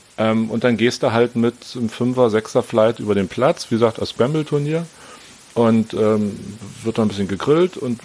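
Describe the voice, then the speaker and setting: A man speaks at a moderate pace and a medium pitch, with ordinary pitch variation and noticeable background noise. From Berlin, Germany. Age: 40s. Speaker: amateur golfer. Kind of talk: casual chat.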